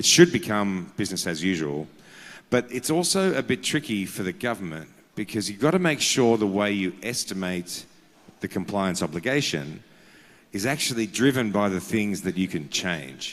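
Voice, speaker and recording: Speaking with an Australian accent, a man uses a fairly low voice at a moderate pace. His pitch swings very widely on a very clean recording with a silent background. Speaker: carbon markets consultant. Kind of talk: conference panel talk. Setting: conference with audience.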